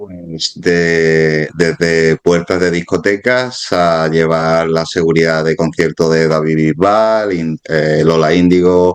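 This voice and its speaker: Speaking in an Andalusian accent at a very slow pace, a man uses a very deep, low pitch and hardly pauses at all. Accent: Andalusian (Málaga). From Málaga, Andalusia, Spain. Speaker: former security guard, exam candidate. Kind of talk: interview. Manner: halting, many repetitions.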